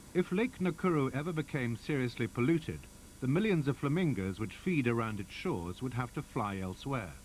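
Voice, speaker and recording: A medium-pitched man at a fairly quick pace, with very wide pitch swings and vocal fry. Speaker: documentary narrator. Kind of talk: nature documentary narration.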